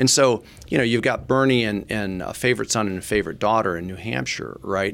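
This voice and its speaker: Speaking at a fairly quick pace in an American accent, a man uses lively intonation over a fairly low pitch with vocal fry. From Michigan. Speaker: political pollster. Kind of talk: podcast interview.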